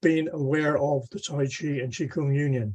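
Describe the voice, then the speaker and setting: Here a man speaks at a moderate pace with a fairly high pitch. His tone is dark and mellow and somewhat breathy. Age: 80s+. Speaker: tai chi teacher. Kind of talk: panel discussion.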